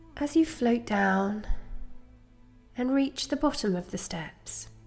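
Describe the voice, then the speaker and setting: Over music in the background, a woman with a fairly high pitch speaks very slowly in a calm, soothing tone with lively intonation. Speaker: guided meditation guide. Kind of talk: guided meditation narration. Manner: slow, calm, soothing.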